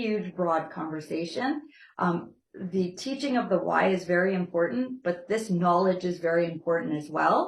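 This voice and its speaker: A woman speaks at a moderate pace in a medium pitch, somewhat breathy, with lively intonation. Audible room echo surrounds her voice. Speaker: nutrition class instructor. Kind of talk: lecture. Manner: conversational, checking in with class.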